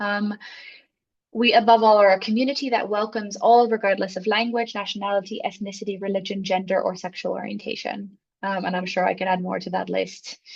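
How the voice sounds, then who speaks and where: Somewhat breathy, a woman with a medium pitch speaks at a fairly quick pace with fairly even intonation. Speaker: social worker and workshop facilitator. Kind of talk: online workshop presentation. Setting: video call. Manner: fast.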